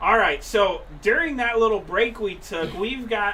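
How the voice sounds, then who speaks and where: A man with a high-pitched voice talks at a moderate pace over noticeable background noise, with audible room echo. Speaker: race broadcast announcer. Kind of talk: live race broadcast. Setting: announcer booth. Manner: animated.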